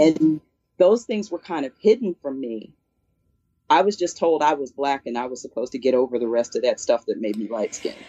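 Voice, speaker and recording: A woman with a very deep, low voice speaks with very wide pitch swings. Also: fairly quick pace. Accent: American. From Philadelphia, US. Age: 50s. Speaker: classical musician and music teacher. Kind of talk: casual interview chat.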